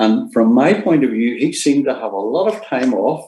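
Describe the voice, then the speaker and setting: Dark, mellow tone from a man with a Northern Irish accent, at a moderate pace. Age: 70s. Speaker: retired nurse. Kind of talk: presentation. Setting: online seminar. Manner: halting, many fillers.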